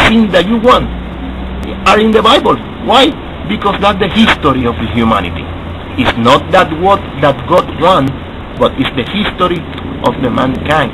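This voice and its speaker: A man speaks with a Spanish accent at a high pitch, with very wide pitch swings. Long, frequent pauses break up his speech over noticeable background noise. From Latin America. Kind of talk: video response monologue. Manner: halting, repetitive.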